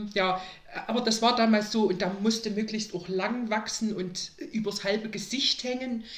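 A woman talks at a moderate pace with fairly even intonation. Room echo is audible, and background noise is noticeable. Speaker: podcast guest, mother of a host. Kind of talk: casual interview.

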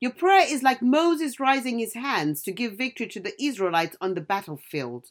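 A woman's high voice with a warm tone and very wide pitch swings, on a very clean recording against a silent background. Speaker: devotional podcast host. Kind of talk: devotional reading with prophetic declarations. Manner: fervent, declarative, leading the listener in prayer; formal, warm, preacherly.

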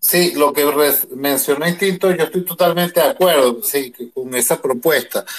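An ordinary speaking voice from a man, fairly high-pitched, at a fairly slow pace with ordinary pitch variation and hardly any pauses. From Venezuela. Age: 50s. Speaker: audience member. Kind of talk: question from audience. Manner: formal.

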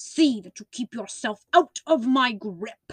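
Using a put-on character voice, a woman growls at a high pitch with lively intonation and a fairly slow pace. The sound is dry and close, with no echo. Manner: snarling, threatening.

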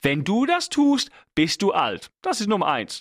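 A man's voice rises and falls in very wide pitch swings. The sound is dry and close with no echo, on a very clean recording with a silent background. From England. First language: English (speaking German). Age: 30s. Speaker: podcast host. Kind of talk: solo monologue. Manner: halting.

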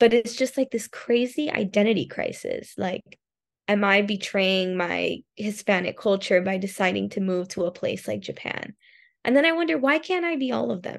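With an American accent and a plain, everyday voice, a woman speaks at medium pitch and a moderate pace, her intonation lively against a quiet background. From Miami, Florida. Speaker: dancer and language assistant. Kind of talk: casual interview.

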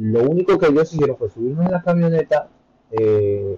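Somewhat breathy and with lively intonation, a man's voice comes through in a dry, close sound with no echo. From Colombia, Bogotá. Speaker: immigrant content creator. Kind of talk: interview.

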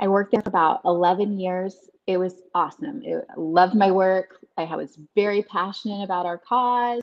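This woman uses a plain, everyday voice at a medium pitch, moving at a moderate pace with ordinary pitch variation and hardly any pauses. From Texas, Dallas-Fort Worth. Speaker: travel business owner, former lawyer. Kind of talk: casual interview. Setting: video call.

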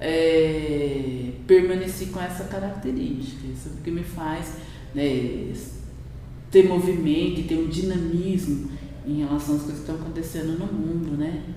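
A woman with a very deep, low pitch talks at a fairly slow pace, with ordinary pitch variation and big swings in loudness. Audible room echo and noticeable background noise come through. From Brazil, Campinas, São Paulo interior. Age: 50s. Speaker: food science lecturer and researcher. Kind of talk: interview conversation.

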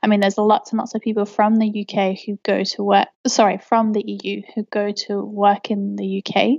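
A woman with an English accent speaks at a moderate pace and a medium pitch, with hardly any pauses. Her intonation is flat and monotone. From England. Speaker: English teacher. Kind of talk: casual interview.

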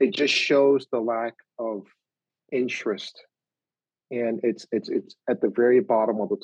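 Speaking at a fairly slow pace, the man has a medium-pitched voice. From Oakland, California. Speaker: chef and filmmaker. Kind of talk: interview conversation.

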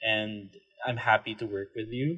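With a Filipino accent, a man talks at a moderate pace. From Philippines. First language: Tagalog. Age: 20s. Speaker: podcast co-host, designer. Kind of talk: casual chat. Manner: halting, repeats words.

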